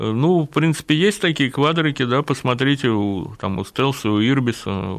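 A normal speaking voice moves at a moderate pace against a quiet background. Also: man. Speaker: motorcycle journalist and engineer. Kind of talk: radio interview.

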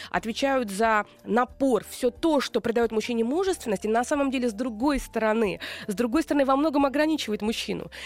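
A woman with a plain, everyday voice speaks at a fairly high pitch in a dry, close sound with no echo. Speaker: radio host and psychologist. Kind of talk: radio talk show with call-ins. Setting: radio studio. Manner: warm, upbeat.

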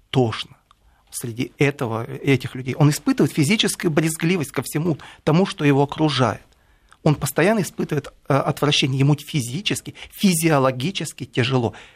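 A man talks at a fairly high pitch. His voice is somewhat breathy, at a moderate pace. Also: ordinary pitch variation. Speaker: writer and commentator. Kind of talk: radio studio discussion. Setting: radio studio.

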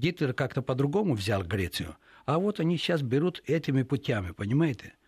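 A man at medium pitch, fairly quick, with vocal fry, very wide pitch swings and very even loudness, in a dry, close recording with no echo, very clean against a silent background. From Greece. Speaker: journalist. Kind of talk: radio interview. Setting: radio studio.

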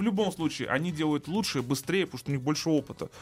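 A man speaks with lively intonation. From Russia. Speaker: car video blogger. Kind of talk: casual chat.

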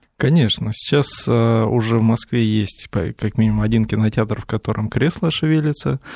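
A man speaks at a medium pitch with ordinary pitch variation. It is a normal speaking voice, with hardly any pauses. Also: moderate pace. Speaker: visual effects supervisor and teacher. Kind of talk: radio interview. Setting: studio.

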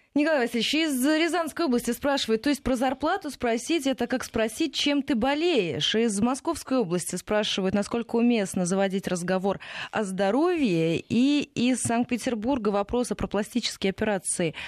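Lively in intonation, a woman speaks in a high pitch against a quiet background. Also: moderate pace, very even loudness, dry, close sound with no echo. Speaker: radio host. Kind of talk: radio interview. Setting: studio.

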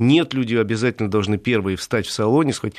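Against a quiet background, a man talks in a fairly low pitch with ordinary pitch variation. It is an ordinary speaking voice. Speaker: automotive columnist. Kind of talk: radio talk show discussion. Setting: studio.

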